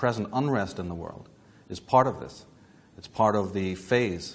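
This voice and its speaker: A man with a Northern Irish accent speaks at a fairly low pitch. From Northern Ireland, Belfast. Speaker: lecturer on esoteric history. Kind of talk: lecture. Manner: formal.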